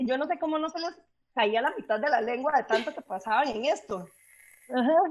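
Her intonation lively, a woman speaks at a moderate pace and a high pitch. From Costa Rica. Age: 30s. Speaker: podcast co-host. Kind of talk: casual chat.

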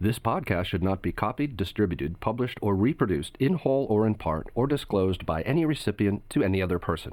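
A man's fairly low-pitched, lively voice at a fairly quick pace, a normal speaking voice, in a very clean recording with a silent background. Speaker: disclaimer reader. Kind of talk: scripted disclaimer reading.

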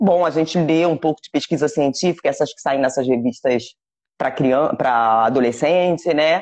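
Against a quiet background, a woman speaks at a very deep, low pitch with big swings in loudness. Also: ordinary pitch variation, moderate pace. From Brazil. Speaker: cannabis activist and content creator. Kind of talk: interview.

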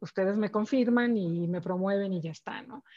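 A woman speaks at a medium pitch. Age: 40s. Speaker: corporate executive. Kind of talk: interview. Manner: halting, many repeated words and fillers.

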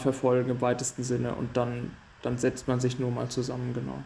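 At a moderate pace, a man talks in a medium pitch. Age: 20s. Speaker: rower and maths student. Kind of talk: casual interview.

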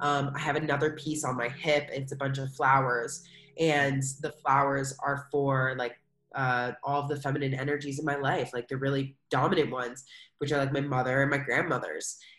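Music sits in the background while a woman with a very deep, low pitch speaks in a monotone, flat way. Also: moderate pace. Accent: American. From US, Philadelphia. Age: 20s. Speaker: English and yoga teacher. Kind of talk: casual interview chat.

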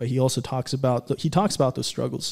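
Here is a man with an American accent and an unremarkable speaking voice. His pitch is medium and his intonation fairly even. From Antelope Valley, Southern California. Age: 20s. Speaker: small business co-owner. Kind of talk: casual chat. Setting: studio.

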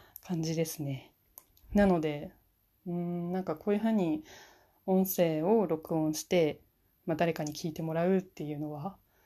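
Pausing long and often, a woman talks at a moderate pace with fairly even intonation. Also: fairly low pitch for a woman. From Fukushima, Japan. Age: 20s. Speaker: university student. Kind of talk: solo podcast self-introduction. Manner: hesitant, many fillers.

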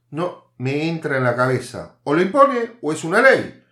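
The voice moves through very wide pitch swings at a fairly slow pace on a very clean recording with a silent background. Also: man. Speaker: podcast host, political commentator. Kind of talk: opinion monologue.

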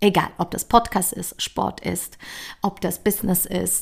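A woman talks at a very slow pace, captured on a very clean recording with a silent background. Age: 40s. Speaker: podcast host, coach. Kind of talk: motivational monologue. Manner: casual, chatty.

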